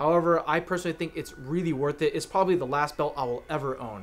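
A man speaks with ordinary pitch variation. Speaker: airsoft gear reviewer. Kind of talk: gear review talk to camera. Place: studio.

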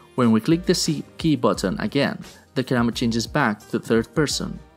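Lively intonation with music in the background. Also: man. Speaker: tutorial narrator. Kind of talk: tutorial.

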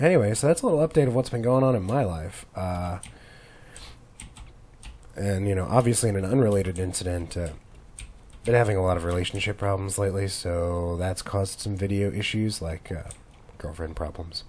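A man with a fairly low, somewhat breathy voice, fairly quick pace, ordinary pitch variation and long, frequent pauses. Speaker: gamer. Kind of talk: let's play commentary. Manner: casual, rambling.

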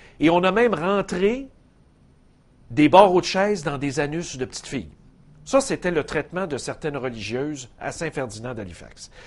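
Speaking at a moderate pace, a man makes long, frequent pauses, with very wide pitch swings and big swings in loudness. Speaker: TV show host. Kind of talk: commentary. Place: studio. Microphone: lapel.

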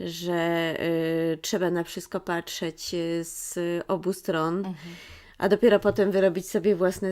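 Very slow speech with fairly even intonation on a very clean recording with a silent background. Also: woman. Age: 40s. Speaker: children's book author. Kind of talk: interview. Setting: bookshop. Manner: halting.

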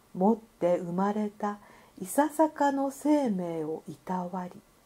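A woman's medium-pitched, dark and mellow voice, somewhat breathy, with very wide pitch swings. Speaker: narrator. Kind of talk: literary essay reading.

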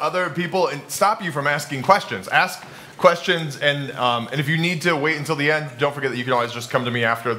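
Light background noise accompanies a man speaking at a fairly quick pace. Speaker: pastor teaching a class. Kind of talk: lecture. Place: hall.

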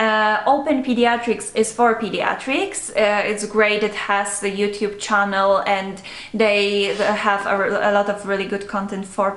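Against audible room echo, a woman speaks at a moderate pace and a medium pitch, with fairly even intonation and long, frequent pauses. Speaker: medical student. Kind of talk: casual chat. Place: home room.

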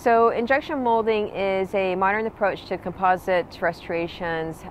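A woman's voice with ordinary pitch variation, dry with no echo, over light background noise. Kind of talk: prepared promotional talk. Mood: calm and friendly. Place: waterside. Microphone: phone near.

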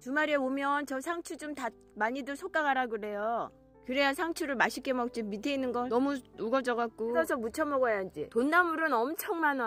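A woman with a high voice speaks at a fairly quick pace, her loudness swinging widely and her pitch varying in an ordinary way, in a dry recording with no echo and faint music in the background. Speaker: family member filming grandmother. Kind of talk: casual conversation. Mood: warm, chatty. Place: farm machine. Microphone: phone near.

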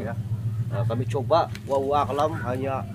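A man at a fairly quick pace amid noticeable background noise. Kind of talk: explanation to camera, paranormal investigation. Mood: earnest, calm. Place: garden.

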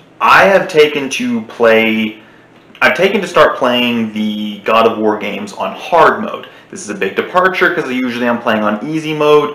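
The speech comes at a moderate pace. There is audible echo from the room. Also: man. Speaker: gaming channel host. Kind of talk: casual vlog chat. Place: home room. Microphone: webcam.

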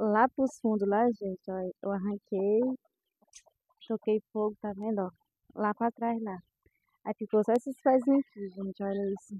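Against a quiet background, a woman with fairly high pitch speaks slowly with fairly even intonation and long, frequent pauses, the sound dry with no echo. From Brazil, Ceará interior (Limoeiro do Norte). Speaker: rural farmer vlogger. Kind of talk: casual vlog walkthrough. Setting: outdoors on a farm. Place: farm machine. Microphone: phone near.

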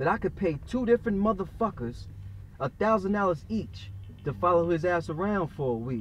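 A man's lively intonation at a moderate pace, dry sound with no echo, music in the background. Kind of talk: dramatic storytelling monologue. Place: car.

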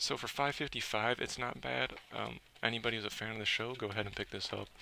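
Talking at a very fast pace, a man with a medium-pitched, bright, sharp voice shows vocal fry and ordinary pitch variation. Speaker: toy reviewer. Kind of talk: unboxing review. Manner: casual, with fillers.

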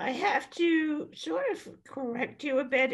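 A woman's very slow speech with vocal fry and very wide pitch swings, over a quiet background. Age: 80s+. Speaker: attorney and author on senior life; attorney. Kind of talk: podcast interview. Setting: podcast recording. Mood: candid, reflective. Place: home room. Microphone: webcam.

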